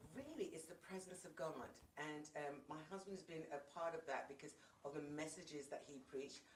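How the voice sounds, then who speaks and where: A woman with a British accent talks at a fairly quick pace in a very deep, low voice with fairly even intonation, and the room echo is audible. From England. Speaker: worship leader and singer. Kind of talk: casual interview.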